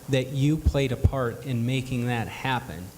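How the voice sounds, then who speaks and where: A man speaks in a somewhat breathy voice. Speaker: multiple sclerosis patient and advocate, speaking at a luncheon.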